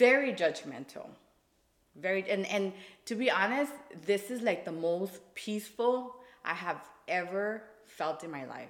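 With lively intonation and big swings in loudness, a woman of medium pitch talks at a fairly slow pace broken by long, frequent pauses. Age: 20s. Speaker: podcast guest. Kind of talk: casual chat.

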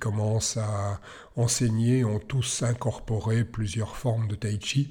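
Somewhat breathy and dark, mellow in tone, a man talks with fairly even intonation. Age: 60s. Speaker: tai chi teacher. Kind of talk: podcast monologue. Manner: hesitant with fillers.

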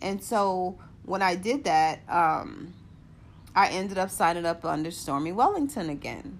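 Using a normal speaking voice, a woman talks fairly slowly with lively intonation. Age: 40s. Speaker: podcaster and network marketer. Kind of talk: personal monologue. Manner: rambling, many fillers.

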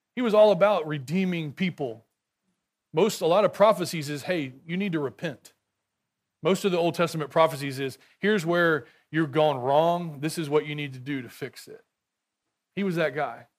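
A man with a Texan accent speaks at a moderate pace with a fairly high pitch, ordinary pitch variation and big swings in loudness. He leaves long, frequent pauses, and the recording is very clean with a silent background. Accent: Texan American. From rural Texas. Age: 40s. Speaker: guest preacher. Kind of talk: sermon. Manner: halting.

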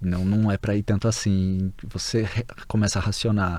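This man's voice has a dark, mellow tone. Audible room echo hangs around it. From Brazil. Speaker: Brazilian emigrant and former graduate student. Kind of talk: casual interview.

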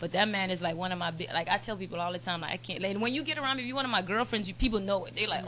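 Over noticeable background noise, a woman with an American accent talks in a medium pitch with lively intonation. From Turks and Caicos, then South Florida (Broward County). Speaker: media platform founder. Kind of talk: casual chat.

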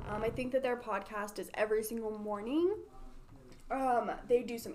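A plain, everyday voice talks at a moderate pace. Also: woman. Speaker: marketing podcast host. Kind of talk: casual chat.

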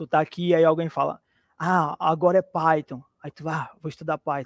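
A man with fairly high pitch has an ordinary speaking voice and a moderate pace. The recording is very clean, dry and close, with no echo and a silent background. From Brazil, Teresina, Piauí. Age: 40s. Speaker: junior programmer, former musician. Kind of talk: live interview.

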